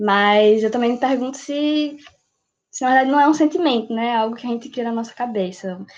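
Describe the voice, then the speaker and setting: A woman with an ordinary speaking voice talks at a moderate pace, her fairly high pitch showing ordinary pitch variation. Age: 18. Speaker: pre-university student. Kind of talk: casual discussion podcast.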